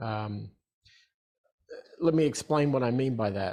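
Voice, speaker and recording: A man with an Australian accent speaks at a fairly slow pace and a medium pitch, on a very clean recording with a silent background. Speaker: entrepreneur. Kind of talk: interview.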